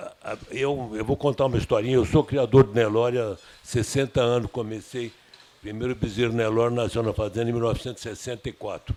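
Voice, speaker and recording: A man talks at a fairly quick pace. His medium pitch stays monotone and flat. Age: 80s+. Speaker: cattle breeder. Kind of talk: Q&A at breeders' meeting. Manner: halting, many restarts.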